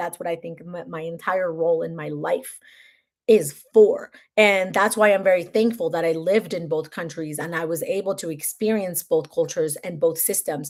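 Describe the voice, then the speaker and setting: A woman with a Spanish accent, animated in tone, at a moderate pace, on a very clean recording against a silent background. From Mexico. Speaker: content creator and author. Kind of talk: livestream chat. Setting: live stream.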